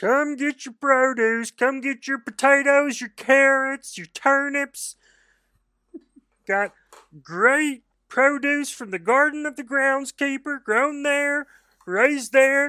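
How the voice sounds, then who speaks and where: A put-on character voice with a high pitch moves at a fairly slow pace on a very clean recording with a silent background. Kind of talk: sales pitch. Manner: hawking wares, calling out to customers.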